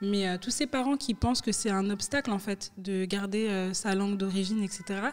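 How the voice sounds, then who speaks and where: With a plain, everyday voice, a woman talks at a moderate pace and medium pitch, her loudness very even, her pitch variation ordinary and hardly any pauses between words. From France. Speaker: interviewer. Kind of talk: interview conversation. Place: studio. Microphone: studio mic.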